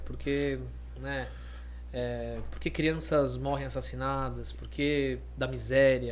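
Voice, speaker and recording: Audible room echo surrounds a man's very deep, low voice. He speaks in a monotone with flat intonation. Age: 30s. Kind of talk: casual chat.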